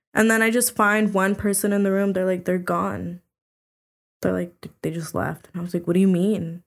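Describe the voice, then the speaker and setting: A normal speaking voice from a woman, medium in pitch, moderate in pace, with fairly even intonation. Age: 20s. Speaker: podcast guest, former high school cheerleader. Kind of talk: casual chat.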